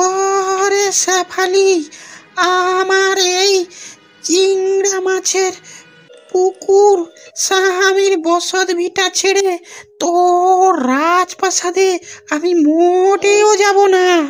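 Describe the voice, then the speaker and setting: In a cartoonish character voice, a female-sounding speaker talks very slowly at an extremely high pitch, with faint music in the background. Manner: harsh, scolding.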